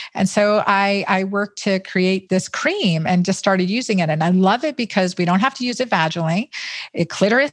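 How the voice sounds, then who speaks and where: Talking at a fairly quick pace, a woman has a plain, everyday voice at a medium pitch. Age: 50s. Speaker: physician, gynecologist and author. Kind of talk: interview.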